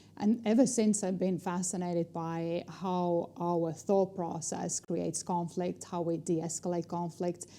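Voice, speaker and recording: Speaking fairly slowly in an Estonian accent, a woman has a fairly low pitch, a dark, mellow tone and fairly even intonation. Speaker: negotiation trainer and speaker. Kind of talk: interview.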